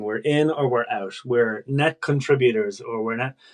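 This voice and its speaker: A man with an Irish accent speaks at a moderate pace with ordinary pitch variation. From Ireland. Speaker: political press officer. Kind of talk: casual chat.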